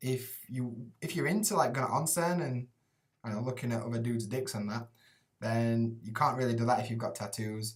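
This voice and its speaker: A man's somewhat breathy, medium-pitched voice at a fairly quick pace. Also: ordinary pitch variation. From Sheffield, Yorkshire, England. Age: 30s. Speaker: English teacher in Japan. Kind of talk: casual live stream Q&A. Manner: casual, sweary, chatty.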